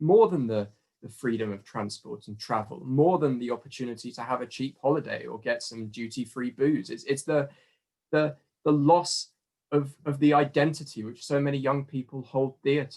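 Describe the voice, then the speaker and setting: A man with a southern English accent speaks at a moderate pace with a fairly high pitch. His pitch variation is ordinary, while his loudness swings widely. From southern England. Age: 20s. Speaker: student. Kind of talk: testimony. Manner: halting.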